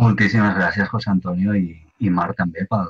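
Very deep, low-pitched male voice at a moderate pace with fairly even intonation. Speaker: webinar moderator. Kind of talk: webinar moderation. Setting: video call. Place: home room. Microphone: video call.

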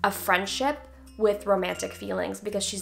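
A woman at a fairly quick pace with faint music in the background. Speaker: actress. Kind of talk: casual Q&A talk to camera. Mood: friendly, animated. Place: home room.

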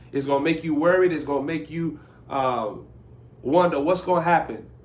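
A man at a fairly quick pace with ordinary pitch variation. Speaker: preacher. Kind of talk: sermon. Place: home room. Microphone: phone near.

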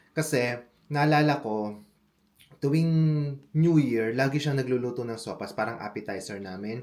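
Audible room echo surrounds a man speaking at a medium pitch. His pitch varies in an ordinary way, with long, frequent pauses. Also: moderate pace. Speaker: vlogger. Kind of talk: cooking vlog tutorial.

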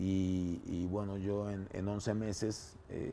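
Light background noise sits behind a man whose fairly low voice has a dark, mellow tone. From Panama. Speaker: composer and music teacher; music teacher. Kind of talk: interview. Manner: halting. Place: home room.

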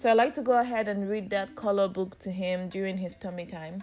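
A woman's voice at a moderate pace with fairly even intonation. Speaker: mother vlogger. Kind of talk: casual vlog narration. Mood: warm, gentle. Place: home room.

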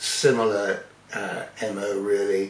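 Light background noise and audible room echo accompany a man as he speaks. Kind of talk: casual vlog chat. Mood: warm, reminiscing. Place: home room. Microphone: phone near.

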